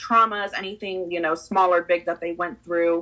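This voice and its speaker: Over a quiet background, a woman with a Spanish accent speaks at a fairly low pitch in a bright, sharp tone. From Peru. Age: 20s. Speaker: podcast guest, property manager. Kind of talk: casual interview chat.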